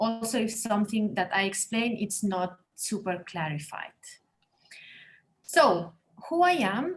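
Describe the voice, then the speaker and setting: With a Spanish accent, a woman speaks at a fairly slow pace with long, frequent pauses. Her voice is somewhat breathy and fairly high, with very wide pitch swings. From Spain, Barcelona. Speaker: interior designer. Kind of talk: webinar presentation. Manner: halting.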